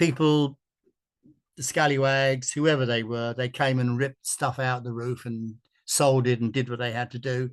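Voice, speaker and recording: The delivery moves at a moderate pace. Its intonation is monotone and flat. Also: man, medium pitch for a man. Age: 70s. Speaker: volunteer historian. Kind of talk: webinar presentation. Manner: halting, with repeated false starts.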